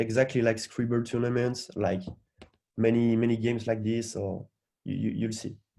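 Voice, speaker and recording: Speaking with a strong French accent, a man uses a medium pitch and a dark, mellow tone at a moderate pace. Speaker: hackathon organizer. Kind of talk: event briefing. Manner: halting, frequent repetitions.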